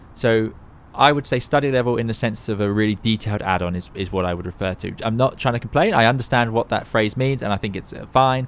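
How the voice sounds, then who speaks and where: Talking very fast, a man uses a fairly low pitch with ordinary pitch variation. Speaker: airline pilot and flight sim streamer. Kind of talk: live stream commentary. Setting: live stream.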